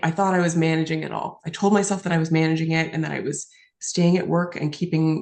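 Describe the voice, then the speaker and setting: The woman has a Western Canadian accent. She speaks at a fairly quick pace. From British Columbia, Canada. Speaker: lawyer and author. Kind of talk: interview answer.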